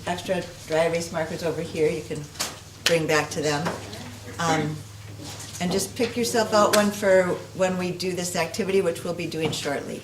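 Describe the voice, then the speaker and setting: Quiet speech with fairly even intonation comes at a moderate pace, with audible room echo and noticeable background noise. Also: woman. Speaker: guest speaker. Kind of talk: interactive workshop presentation.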